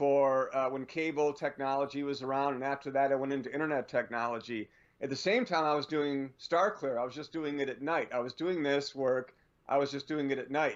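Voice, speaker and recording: Against a quiet background, a man with a normal speaking voice talks fairly quickly at a fairly high pitch with fairly even intonation. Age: 60s. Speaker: radio show guest, former Air Force and tech worker. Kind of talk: casual radio interview.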